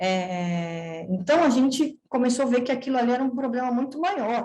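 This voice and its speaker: Here is a woman with an ordinary speaking voice. She talks at a moderate pace with lively intonation. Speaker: veterinarian researcher. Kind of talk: seminar presentation.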